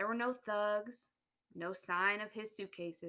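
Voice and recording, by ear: A quiet background behind someone reading aloud in a natural voice, pitch varying in an ordinary way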